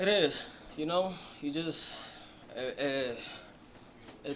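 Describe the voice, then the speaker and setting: In a Dominican accent, a man speaks with ordinary pitch variation. Audible room echo is present. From Dominican Republic (Yamasá, near Santo Domingo). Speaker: professional boxer. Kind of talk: interview. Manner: halting, many fillers.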